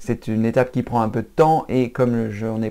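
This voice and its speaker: A man with a dark, mellow tone speaks at medium pitch and a fairly quick pace in a very clean recording with a silent background. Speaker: computer training youtuber. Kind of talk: tutorial. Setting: at his mother's home. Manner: halting with fillers.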